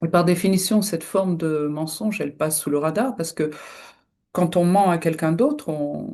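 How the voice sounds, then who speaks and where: Against a quiet background, a woman with a fairly low pitch and a dark, mellow tone talks at a moderate pace with lively intonation. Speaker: hypnotherapist. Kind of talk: solo video talk. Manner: hesitant, many fillers.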